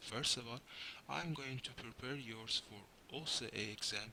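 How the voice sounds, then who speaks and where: A man's bright, sharp voice with a non-native accent, ordinary pitch variation and a moderate pace. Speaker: software engineer, programming tutor. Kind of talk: tutorial.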